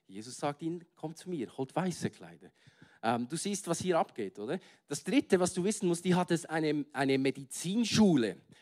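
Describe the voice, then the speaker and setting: A man talks in a normal speaking voice, fairly high in pitch, at a moderate pace, with lively intonation and big swings in loudness, in a dry, close sound with no echo. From Switzerland, Bern. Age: 30s. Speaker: guest preacher. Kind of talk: sermon. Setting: stage with audience.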